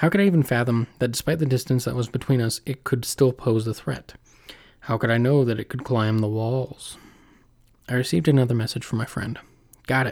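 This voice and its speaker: Heard in a very clean recording with a silent background, a man with an unremarkable speaking voice talks at a fairly quick pace and medium pitch, with ordinary pitch variation. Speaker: podcast host. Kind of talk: casual intro and outro chat, with scary stories read aloud in a spooky storytelling style. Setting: home recording, solo.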